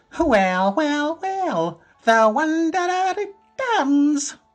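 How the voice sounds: In a put-on character voice that is squeaky and high, the speaker moves at a very slow pace while faint music plays in the background.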